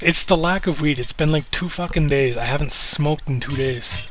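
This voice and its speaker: This man mumbles in a relaxed tone with a slight Canadian accent, his pitch fairly high. He talks at a fairly quick pace over noticeable background noise. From Canada. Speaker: live streamer. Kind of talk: casual live stream chat. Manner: mumbling; relaxed, laid-back.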